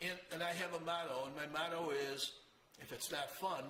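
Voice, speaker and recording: This man has an upstate New York accent and a high pitch, and he speaks at a moderate pace. Audible room echo and noticeable background noise surround him. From Rochester, New York. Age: 80s. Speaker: motorcycle show host. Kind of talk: casual monologue to camera.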